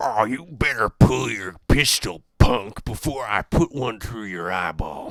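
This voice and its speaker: In a put-on character voice with a Texan accent, a man talks raspy and fairly low-pitched at a fairly slow pace, with hardly any pauses. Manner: threatening, taunting.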